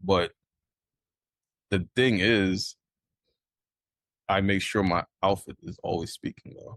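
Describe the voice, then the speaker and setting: A man with a New York accent speaks at a very slow pace and a fairly low pitch. Long, frequent pauses break up his fairly even intonation, and his loudness swings widely. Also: dry, close sound with no echo. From New York, Brooklyn. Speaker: sneaker designer, podcast guest. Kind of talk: casual chat.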